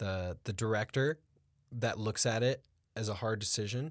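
A man talks in a normal speaking voice, fairly low in pitch, at a moderate pace. The recording is very clean, with a silent background. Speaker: podcast host and acting teacher. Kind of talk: casual interview chat. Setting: studio.

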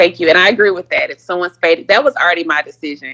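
A woman with an American accent talks at a very fast pace, her intonation lively. The sound is dry and close, with no echo. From Houston, Texas (Third Ward). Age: 30s. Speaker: caller seeking dating advice. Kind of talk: call-in advice conversation.

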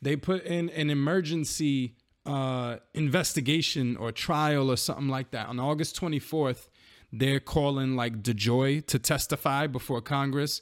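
A man with an American accent has an unremarkable speaking voice, fairly high in pitch with fairly even intonation. He keeps a moderate pace in a very clean recording with a silent background. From New York. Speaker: podcast co-host and rapper. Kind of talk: casual chat.

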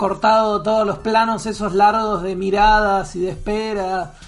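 A man's high-pitched voice in a Rioplatense accent, with monotone, flat intonation. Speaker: podcast panelist. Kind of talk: casual chat. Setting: in a brewery bar.

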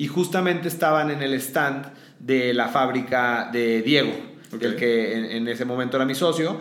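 Noticeable background noise and audible room echo surround a man with a Mexican accent speaking at a medium pitch. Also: ordinary pitch variation, moderate pace. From Mexico, León, Guanajuato. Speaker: founder of a boot brand. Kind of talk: interview. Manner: hesitant, many fillers.

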